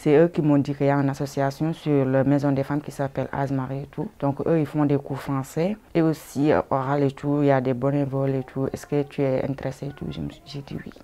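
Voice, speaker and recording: A woman with a very deep, low pitch talks at a fairly quick pace with hardly any pauses and fairly even intonation, against noticeable background noise. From Senegal, Casamance. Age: 30s. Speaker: migrant woman, language learner. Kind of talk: interview. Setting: indoors at a women's centre. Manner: halting.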